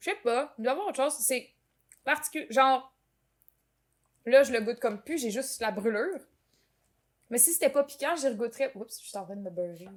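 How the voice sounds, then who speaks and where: A Quebec accent with lively intonation, a fairly quick pace, big swings in loudness and long, frequent pauses. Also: woman, high pitch for a woman. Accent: Québécois French. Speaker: podcast host. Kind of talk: casual chat. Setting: home kitchen.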